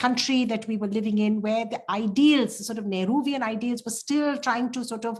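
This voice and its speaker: Moderate pace, ordinary pitch variation, and a somewhat breathy voice. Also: woman. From India. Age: 60s. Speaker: artist. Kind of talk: panel discussion. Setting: video call. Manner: halting, many fillers and restarts.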